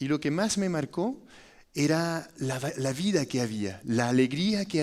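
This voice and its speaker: A man with a French accent, lively intonation, and a fairly slow pace. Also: very clean recording, silent background. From France. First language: French (speaking Spanish). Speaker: foundation director, architect. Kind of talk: testimony talk. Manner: halting, with fillers.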